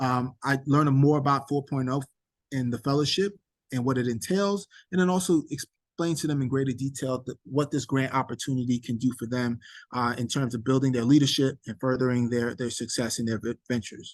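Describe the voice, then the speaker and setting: A man with an American accent speaks at medium pitch and a fairly quick pace. His pitch varies in an ordinary way over a quiet background. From New York City (Queens). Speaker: nonprofit director and event host. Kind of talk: virtual event presentation. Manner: hesitant, many fillers.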